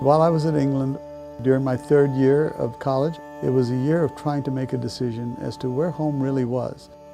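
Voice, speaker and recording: A man at medium pitch, fairly quick and monotone in a flat way, with music in the background. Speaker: church conference president. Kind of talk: interview answer.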